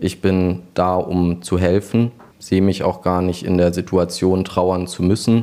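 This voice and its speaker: A man's very deep, low voice with a dark, mellow tone, flat monotone intonation and a fairly slow pace. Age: 20s. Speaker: funeral director. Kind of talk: interview.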